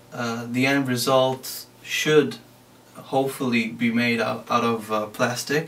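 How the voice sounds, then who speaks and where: A man with a non-native accent and a medium-pitched voice talks at a very slow pace over noticeable background noise. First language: not English. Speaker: DIY maker. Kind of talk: tutorial. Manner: halting.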